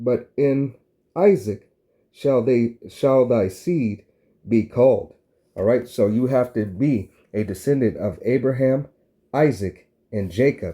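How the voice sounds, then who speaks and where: A man with a dark, mellow tone speaks at medium pitch and a fairly slow pace. His intonation is lively, broken by long, frequent pauses. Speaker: religious teacher. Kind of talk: sermon. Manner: repetitive filler 'all right'.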